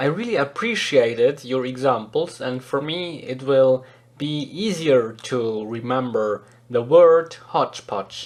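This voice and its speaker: With a Swiss German accent, a man speaks at a fairly slow pace. His pitch sits in the medium range. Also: ordinary pitch variation. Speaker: podcast host, English learner. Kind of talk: scripted podcast narration.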